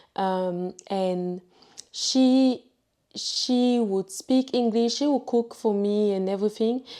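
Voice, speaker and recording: The recording is very clean and the background silent. A woman talks in a dark, mellow tone, her intonation fairly even. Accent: French. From Ivory Coast. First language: French. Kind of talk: testimony. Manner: halting.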